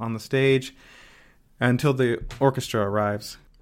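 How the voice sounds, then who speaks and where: Speaking at a moderate pace, a man keeps a medium pitch with monotone, flat intonation. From Mississippi. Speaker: opera conductor. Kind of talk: interview. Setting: remote call.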